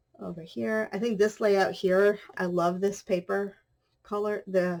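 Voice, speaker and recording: A woman speaks in an ordinary speaking voice, at a medium pitch and a moderate pace with ordinary pitch variation. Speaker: craft youtuber. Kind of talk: tutorial.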